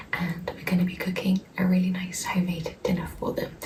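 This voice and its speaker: A soft-spoken woman talks at a moderate pace and a medium pitch, her intonation monotone and flat. Audible room echo and noticeable background noise surround her. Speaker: lifestyle vlogger. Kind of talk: casual vlog talk to camera. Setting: at home in flat. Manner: soft-spoken, talking quietly.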